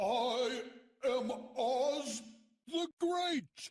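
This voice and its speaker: Putting on a character voice, the man pitches it extremely high. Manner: quiet, frightened.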